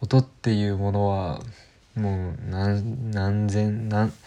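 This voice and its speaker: A man's dark, mellow tone at a fairly low pitch. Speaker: podcaster. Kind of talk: casual solo monologue. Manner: hesitant, many fillers.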